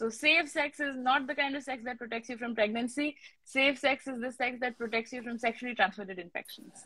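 The voice moves at a fairly quick pace with hardly any pauses, a bright, sharp tone and fairly even intonation, in a dry sound with no echo and a quiet background. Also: woman, high pitch for a woman. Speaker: live stream host and health educator. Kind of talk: live Q&A discussion in Hindi-English mix. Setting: livestream video call. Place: home room. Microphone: phone near.

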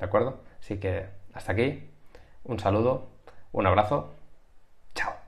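Against a quiet background, a man with a somewhat breathy, fairly low voice speaks with ordinary pitch variation and long, frequent pauses. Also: moderate pace. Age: 30s. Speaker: YouTuber teaching sales and persuasion; YouTuber teaching sales. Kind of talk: tutorial. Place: home room. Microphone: webcam.

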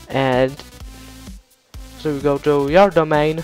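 Music plays in the background as the speaker uses ordinary pitch variation. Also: man. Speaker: game server tutorial maker. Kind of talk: software tutorial narration.

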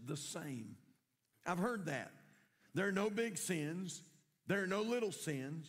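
A man with a North Carolina accent, at a fairly slow pace, with audible room echo. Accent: Southern US (North Carolina). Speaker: pastor. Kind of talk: sermon. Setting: church.

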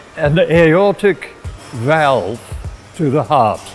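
Faint music plays in the background. A man speaks over it with ordinary pitch variation. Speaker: gym member. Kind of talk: testimonial talk to camera. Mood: reflective, grateful. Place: gym. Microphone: lapel.

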